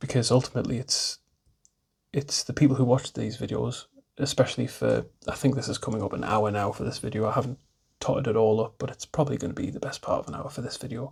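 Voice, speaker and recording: A man at medium pitch with an English accent speaks very fast, using fairly even intonation and vocal fry. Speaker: hobby YouTuber, miniature wargaming. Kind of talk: casual vlog monologue. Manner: fast at times.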